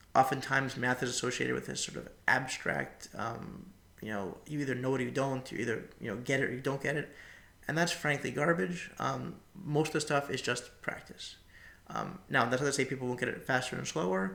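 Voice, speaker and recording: A man talks at a fairly quick pace and medium pitch with ordinary pitch variation, in a bright, sharp tone with vocal fry. Audible room echo surrounds his voice. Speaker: professor. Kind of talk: lecture. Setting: recording alone into a webcam. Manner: fast.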